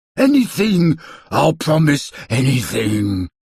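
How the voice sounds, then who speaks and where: Putting on a growling character voice, a man speaks at a fairly slow pace with a fairly high pitch. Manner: pleading.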